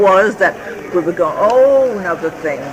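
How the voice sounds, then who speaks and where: A woman speaks with lively intonation. Audible room echo and noticeable background noise surround her voice. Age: 70s. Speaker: elderly mother recounting family history. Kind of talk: oral history interview. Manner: halting.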